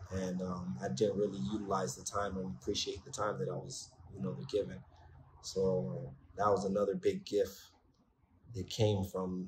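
With a very deep, low pitch and vocal fry, a man speaks at a moderate pace with lively intonation and long, frequent pauses over light background noise. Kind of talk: testimonial interview answer. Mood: reflective, earnest. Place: home room. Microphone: phone near.

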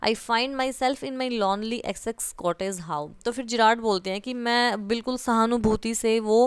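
On a very clean recording with a silent background, a woman uses a normal speaking voice at a fairly high pitch, with ordinary pitch variation and a moderate pace. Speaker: teacher. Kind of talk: lecture.

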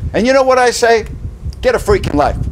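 A man is speaking. His voice is loud. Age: 60s. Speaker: sports talk host. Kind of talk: indignant opinion rant delivered straight to camera. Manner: punchy, loud, mocking rhetorical questions; sarcastic, exasperated and emphatic, building to outraged disbelief. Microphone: phone near.

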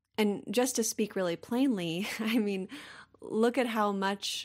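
A woman with an American accent and an unremarkable speaking voice, at a moderate pace with fairly even intonation, in a very clean recording over a silent background. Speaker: podcast host. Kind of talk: interview conversation.

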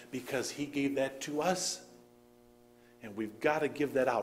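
Over light background noise, a man talks at a moderate pace with a fairly high pitch and ordinary pitch variation. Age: 40s. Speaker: pastor. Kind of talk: sermon. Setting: church service with congregation. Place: church. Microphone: podium.

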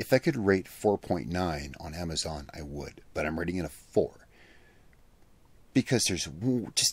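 A man's voice at a moderate pace with very wide pitch swings, dry with no echo. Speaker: product reviewer. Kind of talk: casual review commentary. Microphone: studio mic.

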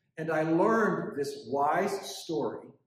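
A man speaks with ordinary pitch variation. Audible room echo and light background noise come through. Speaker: preacher. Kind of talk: sermon. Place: church. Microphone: camera far.

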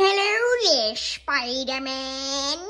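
A woman's high-pitched, put-on character voice with lively intonation. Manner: exaggerated, silly.

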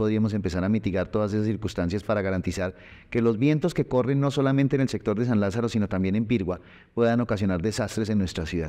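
This man's voice is fairly low, with a dark, mellow tone. He talks at a very fast pace against a quiet background. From Colombia, Tunja (Boyacá); Boyacá, Colombia. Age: 40s. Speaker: mayoral candidate; candidate. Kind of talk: interview; interview answer. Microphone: lapel.

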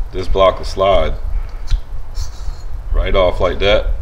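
Speech at a fairly unhurried pace against noticeable background noise. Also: man. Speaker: owner demonstrating install. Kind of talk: tutorial. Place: street. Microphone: camera far.

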